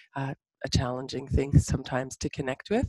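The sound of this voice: A woman's slightly mellow voice comes through with a dry, close sound and no echo.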